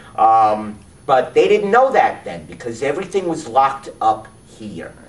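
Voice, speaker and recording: Noticeable noise runs behind the recording. The man delivers his words at a fairly slow pace. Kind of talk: interview.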